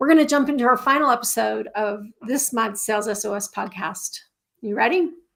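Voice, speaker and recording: A woman with a squeaky, fairly high voice talks at a fairly quick pace with lively intonation. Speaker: podcast host. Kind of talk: live podcast intro. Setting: LinkedIn Live stream.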